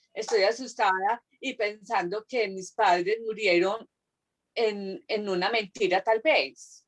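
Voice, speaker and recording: A woman with a fairly high pitch talks at a very slow pace, with ordinary pitch variation and a dry, close sound with no echo. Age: 60s. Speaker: student. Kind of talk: class discussion. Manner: halting.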